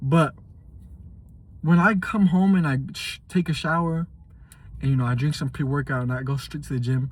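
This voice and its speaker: A man speaks fairly quickly in a fairly high, somewhat breathy voice with ordinary pitch variation. Room echo is audible. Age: 20s. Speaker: fitness vlogger and truck driver. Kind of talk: casual vlog monologue. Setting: after a gym workout. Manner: casual, halting with restarts.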